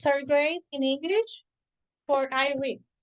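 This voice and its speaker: Her pitch high and her intonation fairly even, a woman speaks at a very slow pace. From Puerto Rico. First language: Spanish. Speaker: elementary school teacher. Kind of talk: casual chat. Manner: halting.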